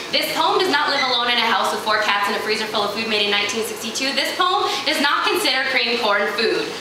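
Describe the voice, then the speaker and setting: A woman talks loudly at a very fast pace and a high pitch, barely pausing. Her intonation is lively, and there is noticeable background noise. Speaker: slam poet. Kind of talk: slam poetry performance.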